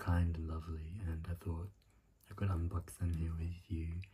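A man speaks in a very deep, low pitch with a dark, mellow, somewhat breathy tone and monotone, flat intonation. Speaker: ASMR creator. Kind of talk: soft-spoken ASMR chat. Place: home room. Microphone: phone near.

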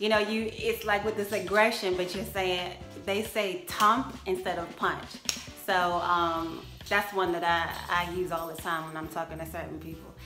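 A woman speaks at a moderate pace in a relaxed tone with fairly even intonation, clear music playing in the background. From Jamaica. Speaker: vlogger. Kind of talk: casual talk to camera. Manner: chatty, relaxed. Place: home room. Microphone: phone near.

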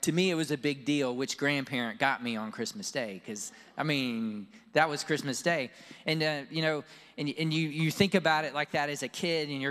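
The man's fairly quick pace and ordinary pitch variation come across over a quiet background. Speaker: pastor. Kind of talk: sermon. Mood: warm, storytelling. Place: church. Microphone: handheld.

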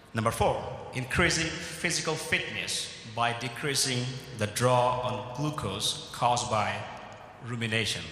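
A man at a fairly slow pace, with long, frequent pauses, ordinary pitch variation and audible room echo. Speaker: keynote speaker. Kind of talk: keynote speech. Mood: earnest, measured. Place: hall. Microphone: podium.

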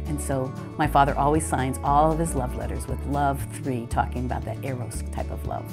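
Lively intonation at a fairly quick pace, with clear music in the background. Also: woman. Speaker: clergy's child; interviewee. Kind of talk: interview answer. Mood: warm, reminiscing. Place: home room.

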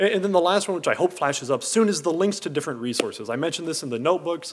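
A man talks at a very fast pace with very wide pitch swings and vocal fry. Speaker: engineering researcher and course creator. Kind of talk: conference talk. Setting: stage with audience. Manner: mumbling; halting. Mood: casual, lightly humorous. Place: hall. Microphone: podium.

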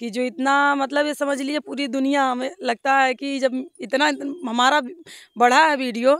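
Against a quiet background, a woman speaks at a fairly slow pace with a high pitch, fairly even intonation and a dry sound with no echo. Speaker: interviewee. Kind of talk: interview answer. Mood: cheerful, grateful. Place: open country. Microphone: handheld.

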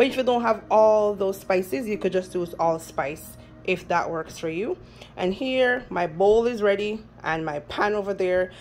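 At a moderate pace, a woman speaks with faint music in the background. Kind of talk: casual cooking tutorial. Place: kitchen. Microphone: phone near.

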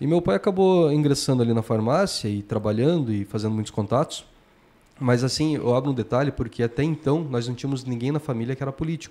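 Talking very fast, a man keeps his pitch variation ordinary. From Santa Catarina, Brazil (Mafra); Santa Catarina, Brazil. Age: 30s. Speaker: former mayor. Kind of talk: casual interview chat. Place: studio. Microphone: studio mic.

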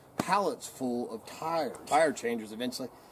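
Noticeable background noise behind a man speaking in an American accent. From Idaho, US West. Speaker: video blogger and tire DIYer. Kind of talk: angry rant. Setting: outdoors, at home. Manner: animated, folksy, casual. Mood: annoyed but easygoing. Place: garden. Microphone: camera far.

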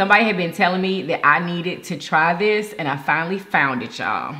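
Over light background noise, a woman with a fairly low pitch talks at a fairly quick pace with ordinary pitch variation. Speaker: food channel host. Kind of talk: casual mukbang intro chat.

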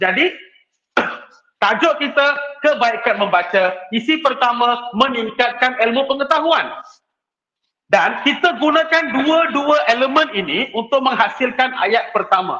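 An extremely high-pitched man's raised, projected voice, bright and sharp in tone, with lively intonation and very even loudness, audible room echo and a quiet background. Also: fairly slow pace. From Malaysia. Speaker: teacher giving a workshop talk. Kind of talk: online workshop lecture. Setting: video call. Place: classroom.

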